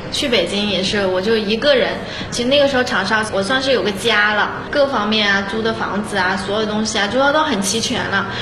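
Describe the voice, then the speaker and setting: The woman's voice sits fairly high. Her recording carries noticeable background noise and audible room echo. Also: ordinary pitch variation, fairly quick pace. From Xinhua, Loudi, Hunan. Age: 30s. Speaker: makeup and photography entrepreneur. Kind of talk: interview testimony.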